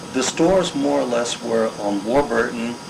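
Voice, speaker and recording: There is noticeable background noise behind this man. He has a medium pitch and a New York accent, and he speaks at a fairly slow pace. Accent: New York area American. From Hastings-on-Hudson, New York. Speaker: oral history interviewee. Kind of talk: interview answer.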